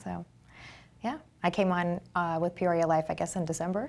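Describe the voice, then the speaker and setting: Talking at a fairly quick pace, a woman with an ordinary speaking voice has a medium pitch. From Texas. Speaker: guest co-host, studio staff. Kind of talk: casual chat.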